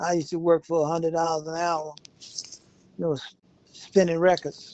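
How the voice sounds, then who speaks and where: Moving at a fairly quick pace, a man with a high pitch speaks in a monotone, flat intonation. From Mississippi. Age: 70s. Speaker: retired army veteran and former DJ. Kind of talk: life story interview.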